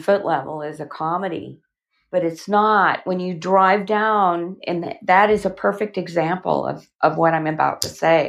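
Against a quiet background, a woman with a Southern US accent talks at a fairly slow pace with fairly even intonation. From Alabama, US South. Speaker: actress and author. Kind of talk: casual interview chat.

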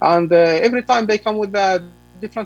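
Speaking very fast with an Arabic accent, a man is heard in a dry, close sound with no echo. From Palestine, West Bank (Ramallah). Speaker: journalist. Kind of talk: radio interview.

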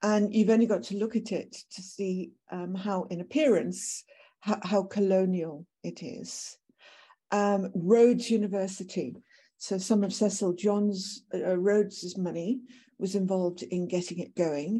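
A woman with medium pitch and a dark, mellow tone speaks at a fairly slow pace with ordinary pitch variation, recorded very cleanly against a silent background. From Britain. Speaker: professor. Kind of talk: lecture. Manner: halting.

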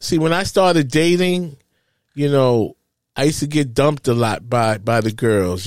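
A normal speaking voice with lively intonation, on a very clean recording against a silent background. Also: man. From Harlem, New York. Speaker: podcast host and father. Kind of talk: casual chat.

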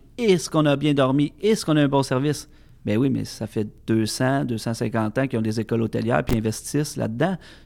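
A man with a normal speaking voice talks at a fairly quick pace and medium pitch with ordinary pitch variation, on a very clean recording with a silent background. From Quebec, Centre-du-Québec (Plessisville). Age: 30s. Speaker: master sommelier. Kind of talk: casual interview. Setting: studio.

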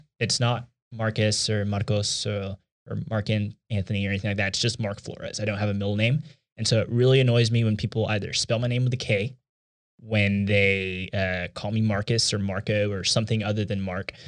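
A man speaks fairly quickly in a Texan accent, his pitch fairly low and his intonation monotone and flat. The recording is very clean, with a silent background. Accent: Texan American. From Texas, Houston (Katy Cypress area). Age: 20s. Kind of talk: casual chat.

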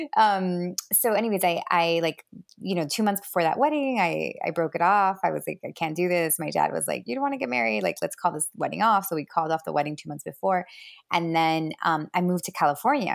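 A woman with a Miami accent talks at a fairly low pitch with lively intonation and a fairly quick pace. The recording is very clean with a silent background. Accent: Miami American English. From Miami, Florida (Cuban American family). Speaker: dating coach and author. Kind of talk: interview. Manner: hesitant, many fillers.

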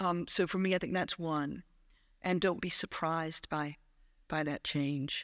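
A voice with an American accent speaks at a fairly slow pace with fairly even intonation. The sound is dry and close with no echo, on a very clean recording with a silent background. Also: woman, fairly low pitch for a woman. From US South, South Carolina. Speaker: church minister. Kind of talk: casual chat. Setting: stage with audience.

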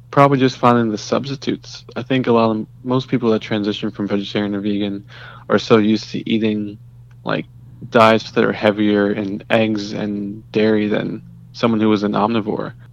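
A man speaks in a fairly low voice at a moderate pace. His intonation is flat and monotone. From US, Trinidadian immigrant household. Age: 20s. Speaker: medical laboratory scientist. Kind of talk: casual interview chat.

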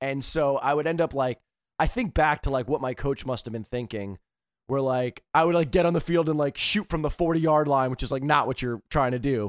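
A man with an American accent, fairly high in pitch with ordinary pitch variation, animated in tone at a fairly quick pace, on a very clean recording with a silent background and a dry, close sound with no echo. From US East Coast. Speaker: comedian and motivational speaker. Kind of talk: casual chat.

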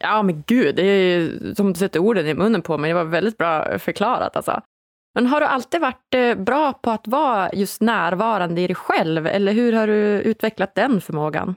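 In a Norrland accent, a woman talks with lively intonation and very even loudness, the sound dry and close with no echo. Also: medium pitch for a woman, moderate pace. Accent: northern Swedish (Norrland) dialect. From northern Sweden (Umeå). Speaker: podcast host. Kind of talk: podcast interview. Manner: animated.

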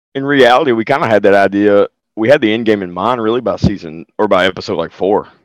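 Someone talks at a very fast pace in a strong Southern US accent, with ordinary pitch variation. The sound is dry and close with no echo, over a quiet background. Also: man, fairly low pitch for a man. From US South. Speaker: podcast voice actor. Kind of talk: casual interview chat.

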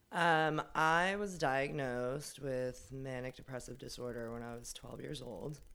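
Loudness swings widely as a woman with a very deep, low pitch speaks at a fairly slow pace. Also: ordinary pitch variation. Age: 30s. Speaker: film and TV wardrobe worker. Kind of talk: casual interview conversation.

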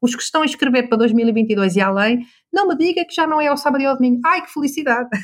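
Her high-pitched voice is animated, with lively intonation, big swings in loudness and a very fast pace. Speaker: business coach. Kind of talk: interview.

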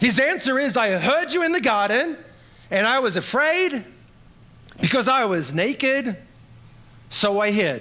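A man speaks in an extremely high pitch, raised and projected, at a fairly slow pace. His intonation is lively and his tone animated. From Australia. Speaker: pastor. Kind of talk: sermon. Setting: church.

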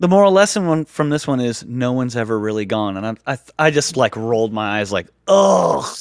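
A man speaks in a normal speaking voice at medium pitch. His pace is fairly quick and his intonation lively. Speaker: podcast co-host. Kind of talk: casual chat about Star Wars.

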